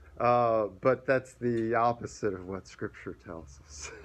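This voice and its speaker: A man's medium-pitched voice at a fairly slow pace. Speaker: pastor. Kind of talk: sermon. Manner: halting.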